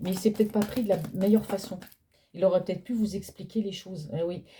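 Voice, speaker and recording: Soft-spoken and dark, mellow in tone, the voice moves at a very fast pace with fairly even intonation. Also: woman. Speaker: tarot card reader. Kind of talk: psychic reading. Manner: speaking louder than usual. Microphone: no microphone.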